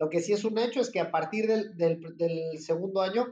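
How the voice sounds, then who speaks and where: A high male voice with ordinary pitch variation, delivered at a moderate pace. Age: 30s. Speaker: marketing executive and entrepreneur. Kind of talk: interview. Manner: halting, many fillers.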